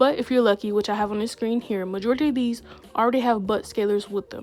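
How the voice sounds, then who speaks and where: Very fast speech with ordinary pitch variation over music in the background. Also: woman. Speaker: gaming YouTuber. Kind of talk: casual tutorial vlog. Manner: lower, less excitable than usual.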